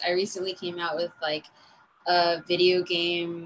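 A woman at a fairly slow pace and medium pitch. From Los Angeles. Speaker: DJ and music producer. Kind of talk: casual interview.

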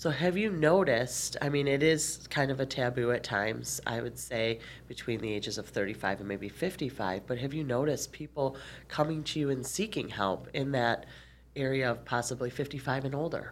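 A woman's very deep, low voice with vocal fry and lively intonation at a fairly quick pace. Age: 40s. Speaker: nurse and podcast host. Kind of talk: interview.

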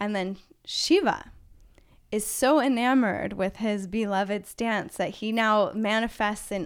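Over a very clean recording with a silent background, a woman uses an ordinary speaking voice, fairly high in pitch with ordinary pitch variation. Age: 30s. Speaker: tantra teacher. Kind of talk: casual chat.

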